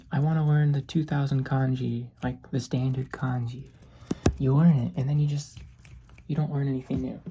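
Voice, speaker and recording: A soft-spoken woman with a very deep, low pitch talks at a fairly quick pace. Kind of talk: soft-spoken lo-fi ASMR ramble. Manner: soft-spoken, rambling, casual.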